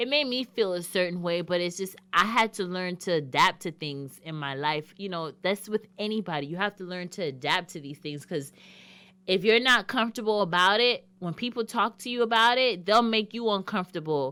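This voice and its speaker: A woman's bright, sharp voice at a moderate pace, with lively intonation and big swings in loudness, on a very clean recording with a silent background. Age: adult. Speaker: radio show host. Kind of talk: monologue on a talk show.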